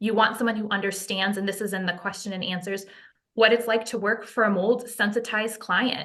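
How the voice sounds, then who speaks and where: Her intonation flat and monotone, a woman speaks at a medium pitch and a fairly quick pace. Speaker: non-profit founder and mold remediation advocate. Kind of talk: podcast interview. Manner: fast.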